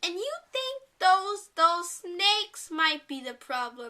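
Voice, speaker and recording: A put-on character voice moves at a fairly slow pace, with very wide pitch swings and big jumps in loudness. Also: woman, extremely high pitch for a woman. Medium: read story. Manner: polite.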